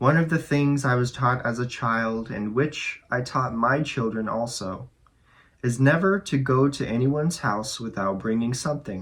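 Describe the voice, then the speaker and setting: A man speaks at a moderate pace in a medium pitch, his tone soothing and calm, with ordinary pitch variation against a quiet background. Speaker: audiobook reader. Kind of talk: spiritual nonfiction book reading. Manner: soothing, calm.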